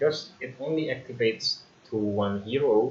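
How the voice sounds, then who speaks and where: With an Indonesian accent, a man talks at a fairly slow pace and medium pitch over noticeable background noise. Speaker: gaming youtuber. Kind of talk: tutorial. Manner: hesitant with fillers.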